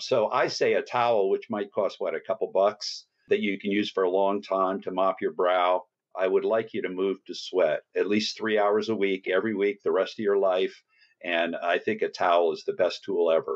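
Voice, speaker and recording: This man has a New Jersey accent. He speaks at a moderate pace. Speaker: fitness trainer and author. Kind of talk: podcast interview.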